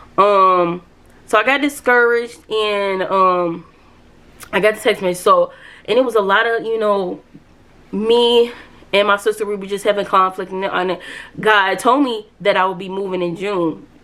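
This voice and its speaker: Long, frequent pauses break up this woman's moderate pace, her bright, sharp tone sitting at a medium pitch with fairly even intonation. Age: 30s. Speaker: faith vlogger. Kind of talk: testimony. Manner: casual, conversational.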